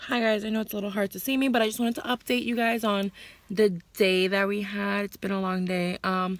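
With ordinary pitch variation, the speaker goes at a fairly quick pace in a dry sound with no echo. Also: woman. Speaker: vlogger. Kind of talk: casual vlog chat. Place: car. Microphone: phone near.

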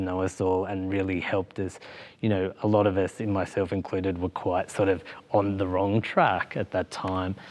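In an Australian accent, a man talks at a fairly low pitch. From Australia, Victoria. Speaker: queer youth program manager; interview guest. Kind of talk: casual interview. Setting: studio with audience. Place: studio.

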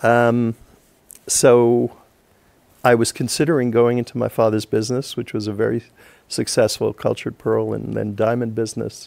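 The speaker has an American accent and a monotone, flat delivery. The pace is moderate, broken by long, frequent pauses. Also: man, medium pitch for a man. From New York, Long Island; New York. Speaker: real estate lawyer. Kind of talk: interview. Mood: warm, smiling storytelling. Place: studio.

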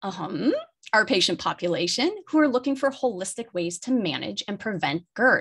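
Big pitch swings, a slightly husky edge and a moderate pace. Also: woman.

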